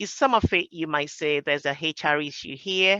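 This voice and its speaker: A woman with a Nigerian accent talks at a moderate pace with lively intonation and a bright, sharp tone. The sound is dry and close with no echo, over a quiet background. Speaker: project professional. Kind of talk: roundtable discussion. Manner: hesitant, with fillers.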